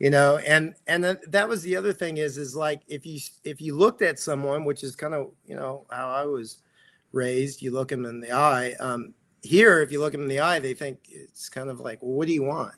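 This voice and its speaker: A man with an American accent has an ordinary speaking voice, fairly high in pitch. He talks at a fairly quick pace with ordinary pitch variation. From Texas. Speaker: actor and pickleball coach. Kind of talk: interview.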